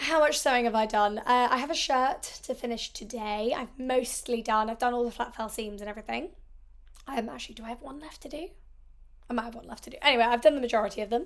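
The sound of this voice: A woman at a fairly high pitch, talking at a fast pace with ordinary pitch variation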